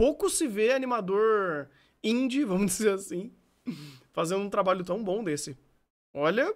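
The background stays quiet. A man delivers lively intonation at a fairly slow pace. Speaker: streamer. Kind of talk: casual reaction commentary. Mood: enthusiastic, impressed. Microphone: studio mic.

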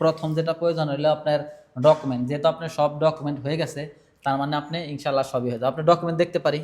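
The voice belongs to a man with fairly high pitch. His intonation is monotone and flat. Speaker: vlogger. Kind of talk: casual interview.

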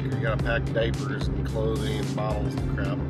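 A man at a moderate pace, with loud music in the background. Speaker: vlogger. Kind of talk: casual vlog chat. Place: car. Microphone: phone near.

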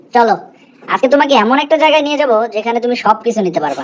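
A woman does a cartoonish character voice pitched high. She talks at a fairly quick pace. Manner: dry, teasing.

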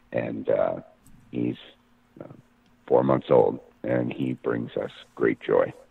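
Using a raspy, put-on character voice, a man speaks very slowly with long, frequent pauses. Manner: quiet, hushed.

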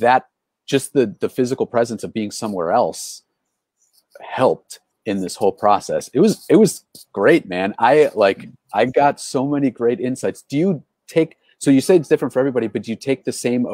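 With a dark, mellow tone and very wide pitch swings, a man talks at a fairly quick pace, the sound dry with no echo and the background quiet. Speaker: live show host. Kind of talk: casual interview. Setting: live stream from a porch. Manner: animated. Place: home room. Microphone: earbuds.

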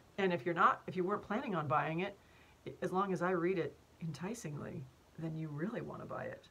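Ordinary pitch variation at a fairly quick pace. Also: woman, fairly low pitch for a woman. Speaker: voice actor. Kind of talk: casual talk to camera, behind-the-scenes voiceover tutorial. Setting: home recording studio. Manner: chatty, humorous, self-deprecating. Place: office. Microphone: studio mic.

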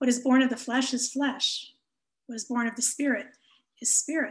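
Speaking at a moderate pace, a woman uses a high pitch with fairly even intonation. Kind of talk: scripture reading. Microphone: webcam.

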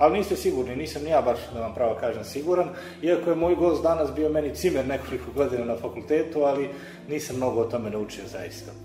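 A man speaking at a very fast pace, with audible room echo and faint music in the background. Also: ordinary pitch variation. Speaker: radio show host. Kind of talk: radio show introduction. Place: studio.

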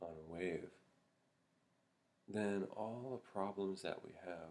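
At a very slow pace, a man speaks with a very deep, low pitch and ordinary pitch variation. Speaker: Zen meditation teacher. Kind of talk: Buddhist dharma talk to camera. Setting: Zen monastery. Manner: slow, reflective. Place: home room. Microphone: webcam.

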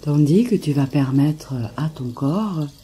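A woman's soothing tone at a very deep, low pitch, lively in intonation and very slow in pace, with noticeable background noise. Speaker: meditation guide. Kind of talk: guided meditation. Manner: slow, soothing.

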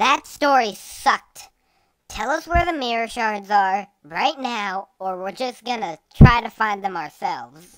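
A female-sounding voice puts on a character voice with a fairly high pitch, speaking at a fairly slow pace. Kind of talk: parody comic dub. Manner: snappy, exasperated, profane.

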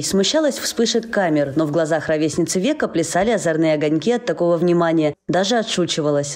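The speaker talks at a fairly quick pace with hardly any pauses. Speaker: TV news reporter. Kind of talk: TV news report narration.

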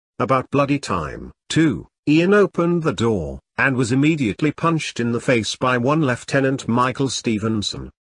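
A man speaks somewhat breathily at a medium pitch and a moderate pace. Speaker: author reading his own book. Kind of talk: audiobook reading of a comedic sci-fi novel. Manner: steady storyteller pace, shifting tone for characters' dialogue.

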